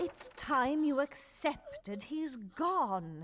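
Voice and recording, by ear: A put-on character voice moves through big pitch swings at a very slow pace. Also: woman, high pitch for a woman.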